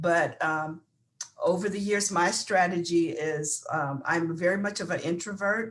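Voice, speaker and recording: This woman has an ordinary speaking voice with a fairly low pitch. She talks at a fairly slow pace with ordinary pitch variation. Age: 60s. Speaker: panelist. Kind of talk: panel discussion.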